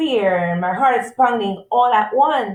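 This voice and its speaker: A woman with a normal speaking voice, fairly high pitch, ordinary pitch variation and moderate pace. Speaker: school support staff for parents. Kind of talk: presentation for parents.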